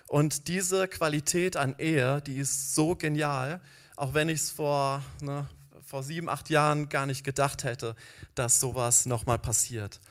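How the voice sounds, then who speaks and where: Here a man uses an ordinary speaking voice, fairly high in pitch, with fairly even intonation and a fairly slow pace. The recording is very clean, with a silent background. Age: 40s. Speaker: church founder and social worker. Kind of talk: sermon.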